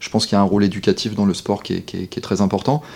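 A fairly low-pitched man at a very fast pace with ordinary pitch variation. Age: 40s. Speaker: sports lawyer. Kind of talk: interview. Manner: halting.

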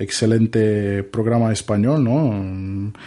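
A man with a Brazilian accent speaks in a dark, mellow tone. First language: Portuguese (speaking Spanish). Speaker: podcaster. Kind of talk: casual chat. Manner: halting.

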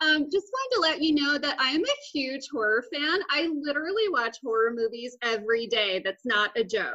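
An American-accented woman speaks in a high, raised, projected voice with a bright, sharp tone and lively intonation. Her pace is moderate with hardly any pauses, and her loudness stays very even. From Texas, Austin. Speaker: comedian and podcast co-host. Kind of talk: casual chat.

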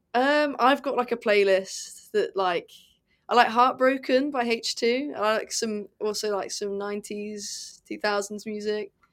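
A woman with a British accent speaks fairly slowly at a fairly high pitch with ordinary pitch variation, in a very clean recording with a silent background. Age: 20s. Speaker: racing driver. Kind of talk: interview.

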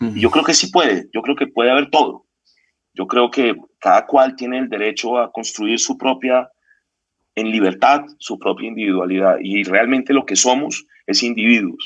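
An unremarkable speaking voice, a man at medium pitch and moderate pace with ordinary pitch variation. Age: 50s. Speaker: consultancy founder. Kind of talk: interview conversation.

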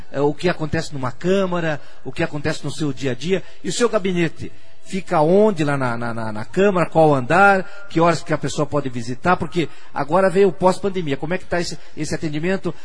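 A man talks fairly quickly in a fairly high voice. His pitch varies in an ordinary way, and audible room echo is present. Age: old. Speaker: radio host. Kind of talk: radio interview.

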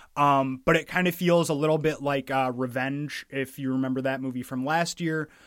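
A man with a plain, everyday voice, fairly high in pitch, at a moderate pace with hardly any pauses and fairly even intonation, on a very clean recording with a silent background. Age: 20s. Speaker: film podcast co-host. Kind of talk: casual chat.

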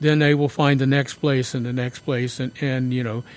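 A man speaks at a medium pitch and a moderate pace. His pitch moves very little.

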